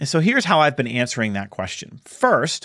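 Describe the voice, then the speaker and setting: The background is silent and the recording very clean. In it, a man's voice shows vocal fry and very wide pitch swings. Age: 40s. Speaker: podcast host, speaker and author. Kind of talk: solo podcast monologue. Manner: conversational with fillers.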